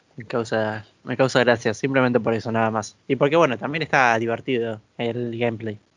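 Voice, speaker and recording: The man has a plain, everyday voice at a medium pitch with fairly even intonation. He talks at a fairly quick pace with hardly any pauses. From Argentina. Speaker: video game podcast co-host. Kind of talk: casual chat.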